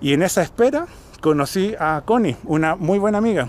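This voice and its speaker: A man speaks in a Chilean accent with lively intonation. The sound is dry, with no echo. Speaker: vlogger. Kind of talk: casual vlog monologue. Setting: outdoors, hill park after cycling. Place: open country. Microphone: phone near.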